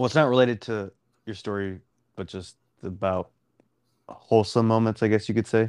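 In a Texan accent, a man talks at a fairly quick pace with long, frequent pauses, medium pitch, fairly even intonation, and big swings in loudness, in a dry, close sound with no echo. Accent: Texan American English. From Dallas, Texas. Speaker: podcast co-host. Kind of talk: casual chat.

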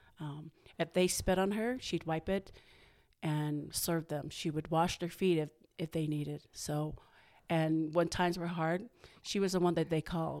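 A woman's normal speaking voice at a fairly low pitch, with fairly even intonation and a moderate pace, on a very clean recording with a silent background. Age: 50s. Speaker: boutique owner. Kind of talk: casual chat.

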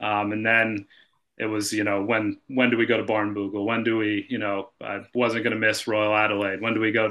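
With an American accent, a man talks at a fairly quick pace in a fairly low pitch, his tone bright and sharp and his intonation monotone and flat, over a quiet background. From northeastern US. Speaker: golf shop manager. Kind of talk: casual chat. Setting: video call.

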